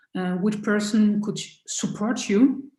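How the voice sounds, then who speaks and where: The speech, in a French accent, is fairly slow, somewhat breathy and dark and mellow in tone. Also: woman. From France. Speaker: choir director and musicologist. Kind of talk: interview. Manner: halting.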